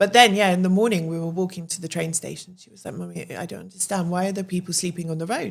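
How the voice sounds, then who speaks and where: With a British accent, the speaker talks at a very fast pace with hardly any pauses. The intonation stays fairly even while the loudness swings widely. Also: woman, fairly low pitch for a woman. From England. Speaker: podcast guest, English woman living in Albania. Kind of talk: casual chat.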